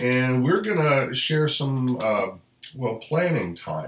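A man talks rather slowly. The room's echo can be heard around him. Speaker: family channel host. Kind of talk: casual live stream chat. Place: home room.

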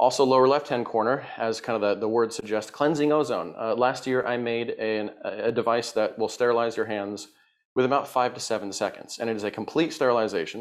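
The background is quiet. A man talks fairly quickly with fairly even intonation. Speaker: presenter. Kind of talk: lecture.

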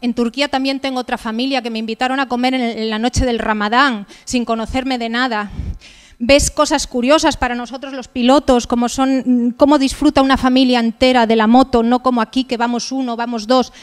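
Against a quiet background, a woman with a high pitch talks at a fairly quick pace in a monotone, flat intonation. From Asturias, Villaviciosa; Asturias, Spain. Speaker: motorcycle adventurer and travel speaker; speaker. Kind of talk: talk with slides. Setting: stage with audience. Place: hall. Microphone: handheld.

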